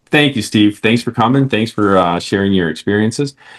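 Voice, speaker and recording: A man with an American accent speaks at a fairly quick pace. He has a plain, everyday voice, fairly low in pitch. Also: quiet background. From Detroit area. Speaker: podcast host. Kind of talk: interview.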